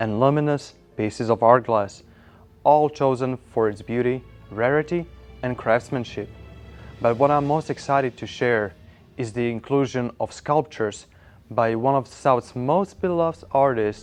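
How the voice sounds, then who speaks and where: Medium-pitched male voice at a moderate pace, long and frequent pauses, music in the background. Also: ordinary pitch variation. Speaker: estate sale auction presenter. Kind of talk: promotional auction announcement to camera.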